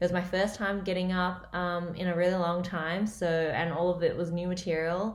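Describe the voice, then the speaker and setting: The speaker has an Australian accent and a monotone, flat intonation with hardly any pauses. Audible room echo surrounds the voice. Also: woman, fairly low pitch for a woman, moderate pace. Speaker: comedian. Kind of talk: casual vlog update.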